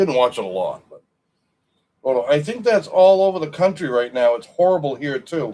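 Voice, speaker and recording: In a New England accent, a man with a dark, mellow tone swings very widely in pitch at a moderate pace. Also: fairly high pitch for a man, big swings in loudness. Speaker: live stream co-host. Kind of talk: casual chat. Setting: live stream.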